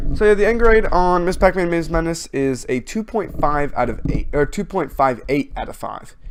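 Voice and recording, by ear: A man's voice swings widely in pitch and carries vocal fry.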